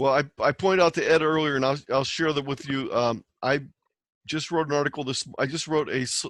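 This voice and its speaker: A man speaks in a normal speaking voice at a fairly quick pace, his fairly high pitch held in a fairly even intonation, on a very clean recording with a silent background and a dry, close sound with no echo. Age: 60s. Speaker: amateur radio presenter. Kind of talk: presentation Q&A.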